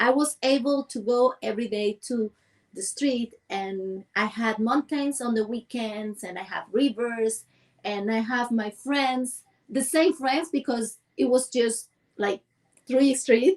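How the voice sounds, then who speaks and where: Her voice high-pitched, a woman talks at a very slow pace with ordinary pitch variation. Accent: Cuban. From rural central Cuba, Villa Clara. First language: Spanish. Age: 40s. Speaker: dancer and movement coach. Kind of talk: interview. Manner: halting.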